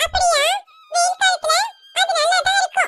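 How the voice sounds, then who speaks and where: Squeaky and pitched extremely high, a woman performs a put-on character voice at a moderate pace. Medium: fan dub.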